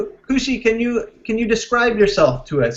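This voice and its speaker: Talking at a fairly quick pace, a man speaks with a Canadian accent. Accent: Canadian, close to American. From Canada. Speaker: English teacher. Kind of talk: online class. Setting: video call. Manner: animated.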